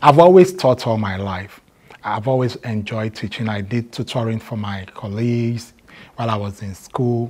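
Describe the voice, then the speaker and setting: A man with a Nigerian accent at a medium pitch and moderate pace, with ordinary pitch variation and big swings in loudness. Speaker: math teacher. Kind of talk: interview.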